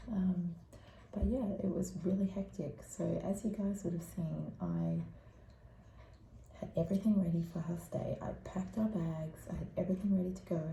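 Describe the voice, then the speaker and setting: A woman speaks moderately fast while audible room echo and noticeable background noise fill the recording. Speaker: parenting vlogger. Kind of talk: casual vlog update. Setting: room at sleep school. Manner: speaking quietly.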